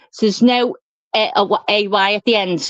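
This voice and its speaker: With a strong Scouse accent, a woman speaks at a medium pitch. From England, Liverpool. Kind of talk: casual chat. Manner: animated.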